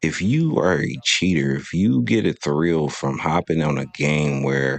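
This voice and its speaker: Over noticeable background noise, a man with a very deep, low pitch speaks at a fairly slow pace with lively intonation. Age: 30s. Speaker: gaming youtuber. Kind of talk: casual monologue. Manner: animated.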